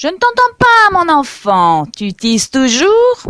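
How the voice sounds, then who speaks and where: In a put-on character voice, raised and projected, the speaker talks at a fairly slow pace with a high, creaky pitch that swings very widely. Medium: read story.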